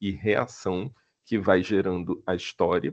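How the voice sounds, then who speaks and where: A man talks in a plain, everyday voice at a fairly slow pace. His pitch is fairly low and his intonation fairly even. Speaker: film screenwriting professor. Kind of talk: online lecture.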